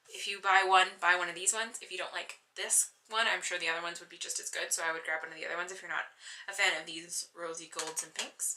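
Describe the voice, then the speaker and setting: Noticeable background noise sits behind this recording. A woman with a fairly low pitch talks at a very fast pace. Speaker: beauty vlogger. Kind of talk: product review. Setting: bedroom.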